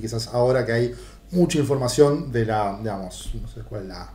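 Audible room echo hangs around the speech. A man talks with ordinary pitch variation. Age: 40s. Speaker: podcast host. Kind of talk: interview.

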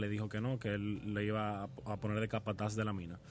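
Speaking at a fairly quick pace, a man has a plain, everyday voice with fairly low pitch. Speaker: hospitality student and restaurant family heir. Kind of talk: radio interview.

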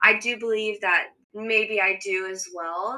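Her voice is an ordinary speaking voice, with an American accent, a fairly high pitch for a woman and ordinary pitch variation. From California. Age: 20s. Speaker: occupational therapy student. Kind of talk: casual chat.

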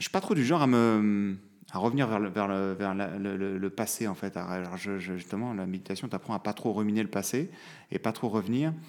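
The pitch varies in an ordinary way, and the delivery moves at a moderate pace. It is a plain, everyday voice, captured in a very clean recording with a silent background. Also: man, fairly low pitch for a man. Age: 30s. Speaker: lawyer and father. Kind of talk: casual interview. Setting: recorded at his law office.

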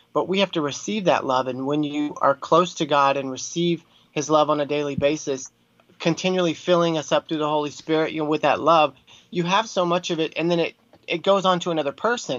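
The man has a plain, everyday voice with an American accent and a fairly high pitch. He talks at a fairly quick pace with ordinary pitch variation. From Texas. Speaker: filmmaker and former worship singer. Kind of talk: interview.

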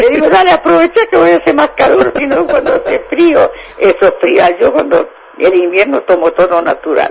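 A man talks at a moderate pace and very even loudness while noticeable background noise continues. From Santa Fe province, Argentina. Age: 90s. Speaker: elderly interviewee, former dairy farm worker. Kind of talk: casual interview.

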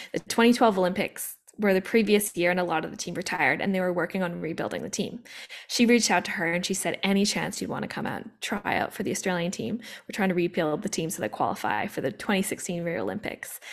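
A woman with a Canadian accent, medium-pitched and fry-tinged, talking very fast with ordinary pitch variation. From Canada, Vancouver. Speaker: former Olympic athlete and coach. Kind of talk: casual chat.

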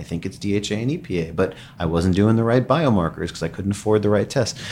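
With noticeable background noise behind it, the voice rushes along at a very fast pace with lively intonation. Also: man. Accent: American. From Long Island, New York. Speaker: neurologist. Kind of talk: podcast interview.

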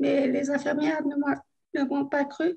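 With fairly even intonation, a woman talks in a high voice. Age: 30s. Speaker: stroke survivor. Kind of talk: testimony.

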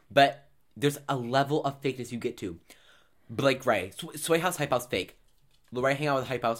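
The tone is animated, broken by long, frequent pauses. The recording is very clean, with a silent background. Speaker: podcast co-host. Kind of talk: casual chat. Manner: fast.

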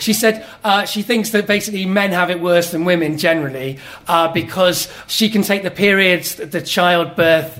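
A man with a high pitch talks at a moderate pace with ordinary pitch variation over noticeable background noise. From Wales, Cardiff (English-born). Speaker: storyteller. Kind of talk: live storytelling. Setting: stage with audience.

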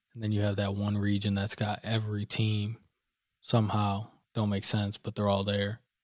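On a very clean recording with a silent background, a man talks at a moderate pace with a fairly low pitch. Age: 20s. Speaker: podcast co-host. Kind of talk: casual chat. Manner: animated.

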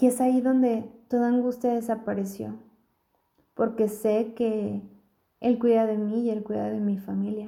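A woman's fairly high-pitched voice with a gentle, dark, mellow tone, at a fairly slow pace in a monotone, flat intonation. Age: 40s. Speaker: family doctor. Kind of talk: recorded testimony.

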